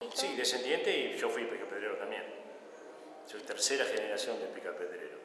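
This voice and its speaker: A man's moderately paced speech comes through noticeable background noise and audible echo in the room. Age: 60s. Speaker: retired stonecutter. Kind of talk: interview testimony. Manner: halting.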